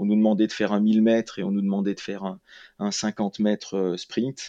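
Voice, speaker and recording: A man speaks with a fairly low pitch and a dark, mellow tone. The sound is dry and close with no echo, against a quiet background. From France, Lyon area. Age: 40s. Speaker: ultra trail runner and PE teacher. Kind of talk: interview. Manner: halting, repeats words.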